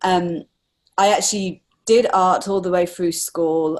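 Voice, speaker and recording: Speaking with an English accent, a woman of medium pitch shows ordinary pitch variation. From England. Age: 40s. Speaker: artist. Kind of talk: interview.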